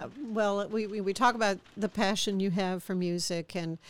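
A woman speaks at a medium pitch. She has an unremarkable speaking voice. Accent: American. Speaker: podcast host. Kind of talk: interview.

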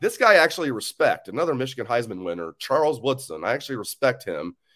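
A man speaks at a medium pitch and a very fast pace, his voice swinging very widely in pitch and showing vocal fry. The recording is very clean, with a silent background. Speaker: sports podcast host. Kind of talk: casual solo sports talk.

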